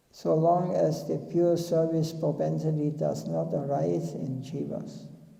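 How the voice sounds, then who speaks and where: A man talks at a very slow pace. Room echo is audible. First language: not English. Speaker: spiritual teacher. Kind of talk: religious discourse. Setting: temple.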